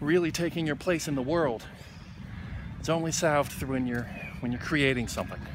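A man with ordinary pitch variation, dry with no echo, over noticeable background noise. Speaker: vlogger. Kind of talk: casual vlog chat. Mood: wry, reflective. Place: garden. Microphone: phone near.

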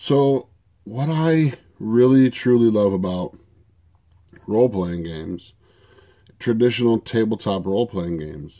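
Against a quiet background, a man speaks with a dark, mellow tone at a fairly low pitch. His intonation is lively. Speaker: tabletop RPG video creator. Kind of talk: casual monologue to camera. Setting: at home desk. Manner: hesitant, many fillers. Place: home room. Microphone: webcam.

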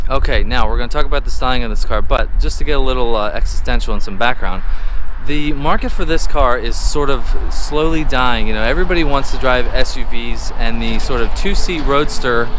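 Man at a fairly quick pace, dry sound with no echo, noticeable background noise. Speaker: car reviewer. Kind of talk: casual vlog chat. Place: street. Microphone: phone near.

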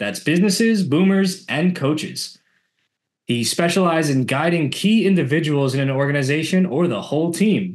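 Lively intonation marks an unremarkable speaking voice. The pace stays moderate. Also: man. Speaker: podcast host. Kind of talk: podcast interview. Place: home room. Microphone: video call.

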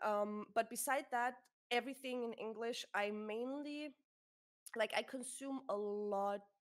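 The speaker talks at a fairly slow pace with a German accent and fairly even intonation. The background is quiet. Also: woman. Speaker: streamer and podcast co-host; streamer, podcast co-host. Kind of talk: casual chat. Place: home room.

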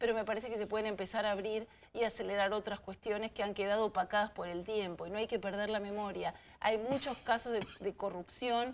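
A woman speaks at a fairly quick pace in an ordinary speaking voice. Her pitch is medium. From Argentina. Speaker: politician. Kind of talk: TV panel discussion. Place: studio.

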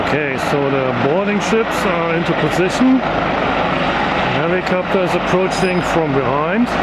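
Loud background noise fills the clip. The speech moves at a moderate pace. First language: not English. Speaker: spotter filming a helicopter exercise. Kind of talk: live spoken commentary. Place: street. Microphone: phone near.

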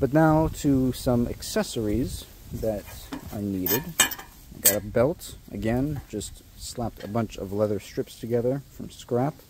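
The sound is dry with no echo, but background noise is noticeable. A man speaks at a fairly slow pace. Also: ordinary pitch variation. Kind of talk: casual vlog chat. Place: garden. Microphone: phone near.

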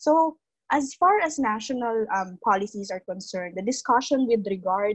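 Somewhat breathy and lively in intonation, a woman talks at a moderate pace over a quiet background. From Philippines. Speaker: legislative officer; panelist. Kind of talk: panel discussion. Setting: video call. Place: home room. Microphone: earbuds.

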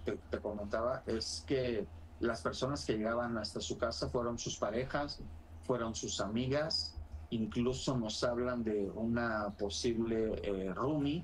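A somewhat breathy man with lively intonation, over light background noise. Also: fairly slow pace. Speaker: crime journalist. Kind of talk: interview. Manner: formal. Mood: serious, somber.

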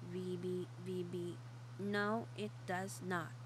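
A low-pitched put-on character voice comes through over loud background noise. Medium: read story. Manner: playful, echoing.

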